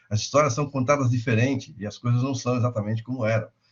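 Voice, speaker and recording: A man speaks at a medium pitch with ordinary pitch variation. His voice is somewhat breathy and his pace is very fast. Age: 60s. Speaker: insurance lecturer. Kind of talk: lecture.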